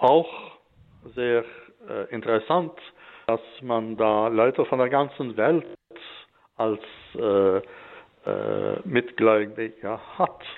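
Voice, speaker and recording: With long, frequent pauses, the delivery unfolds at a very slow pace and shows ordinary pitch variation. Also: man, medium pitch for a man. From Alsace, France. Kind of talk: radio interview. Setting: remote connection from Stockholm.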